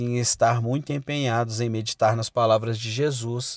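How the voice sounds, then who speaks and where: On a very clean recording with a silent background, a man with a plain, everyday voice speaks at medium pitch and a fairly slow pace with fairly even intonation. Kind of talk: sermon read aloud as audiobook. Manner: solemn, earnest, exhortative; formal, measured.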